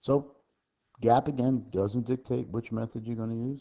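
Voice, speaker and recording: The speaker is a man. He talks at a moderate pace. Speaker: accounting instructor. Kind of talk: homework tutorial lecture. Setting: low recording level. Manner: soft-spoken.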